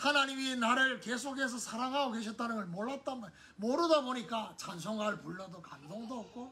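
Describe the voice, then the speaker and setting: A man's extremely high, raised, projected voice moves fairly quickly with hardly any pauses, big swings in loudness and ordinary pitch variation, over noticeable background noise and audible room echo. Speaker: pastor. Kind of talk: sermon. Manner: conversational.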